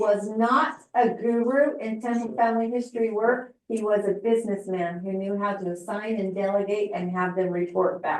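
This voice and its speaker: A woman with a normal speaking voice, fairly high in pitch, at a moderate pace with ordinary pitch variation and hardly any pauses. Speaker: family history presenter. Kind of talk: presentation.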